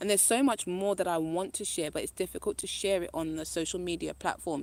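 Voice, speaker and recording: Animated and at a very fast pace, a woman talks at a medium pitch with ordinary pitch variation on a very clean recording with a silent background. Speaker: spiritual speaker. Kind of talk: live-stream spiritual talk. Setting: live stream.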